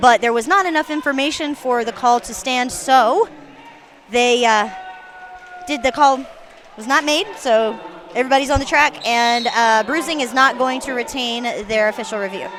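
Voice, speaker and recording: An American accent marks this woman's high voice, with ordinary pitch variation and a moderate pace. Long, frequent pauses and noticeable background noise are present. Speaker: roller derby announcer. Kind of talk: live commentary. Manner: casual, chatty.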